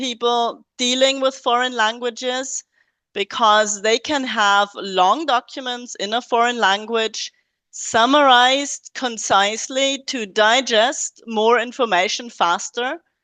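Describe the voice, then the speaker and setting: With a non-native accent, a woman speaks at a fairly slow pace in a high pitch and a bright, sharp tone. The sound is dry and close with no echo, and the background is quiet. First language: not English. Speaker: academic researcher presenting in webinar. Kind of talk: webinar lecture. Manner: hesitant with frequent fillers.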